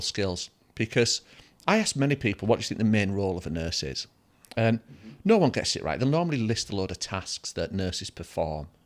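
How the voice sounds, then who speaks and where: In a northern English accent, a man with a fairly low voice talks fairly quickly and with lively intonation on a very clean recording with a silent background. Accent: British (north of England). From northern England. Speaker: dental education executive, former nurse. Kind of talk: casual chat.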